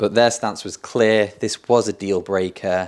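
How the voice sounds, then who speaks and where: The recording is very clean, with a silent background. On it, a man with a British accent speaks at a fairly low pitch. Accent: British-sounding. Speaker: content creator. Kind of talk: vlog storytelling.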